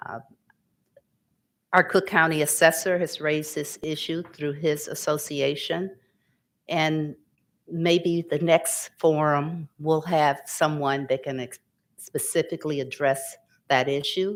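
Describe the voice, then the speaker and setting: A fairly slow pace with long, frequent pauses, in a very clean recording with a silent background. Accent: American. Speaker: panel moderator. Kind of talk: panel discussion.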